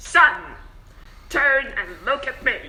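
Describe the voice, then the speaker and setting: This is a put-on character voice. Its pitch is high. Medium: read story. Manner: authoritative, formal.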